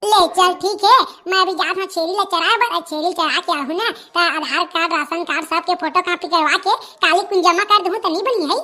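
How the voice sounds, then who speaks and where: A cartoonish character voice at an extremely high pitch, delivered at a fairly quick pace. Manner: grumbling, cheeky.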